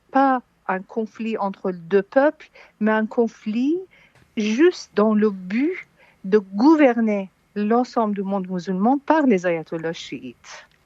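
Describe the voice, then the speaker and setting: Very slow and marked by long, frequent pauses, a woman's fairly high voice has a dark, mellow tone and lively intonation, in a dry, close sound with no echo. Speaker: exiled political analyst. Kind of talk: radio interview.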